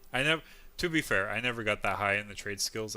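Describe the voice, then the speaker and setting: With music in the background, a man speaks at a fairly low pitch with ordinary pitch variation. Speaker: video game streamer. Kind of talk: casual gameplay commentary.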